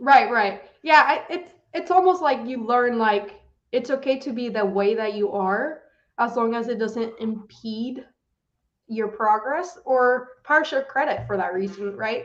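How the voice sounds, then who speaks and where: The intonation is lively. The pace is fairly slow. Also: woman, high pitch for a woman. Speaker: chemical engineer and strategy analyst. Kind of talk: interview.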